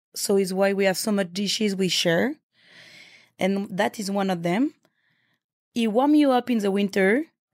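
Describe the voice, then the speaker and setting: In a very clean recording with a silent background and a dry, close sound with no echo, a woman with a French accent speaks at a medium pitch and a moderate pace, with ordinary pitch variation and long, frequent pauses. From France, Paris. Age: young. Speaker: chef. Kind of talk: interview.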